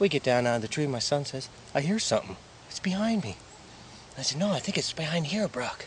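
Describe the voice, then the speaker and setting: Pitch swinging very widely, a man rattles along at a very fast pace amid noticeable background noise. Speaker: hunting show host. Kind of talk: live field commentary. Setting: outdoors, in a tree stand.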